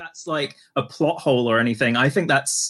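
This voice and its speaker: In a very clean recording with a silent background, a man talks at a moderate pace with ordinary pitch variation and an ordinary speaking voice. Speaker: podcast co-host. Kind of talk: casual chat.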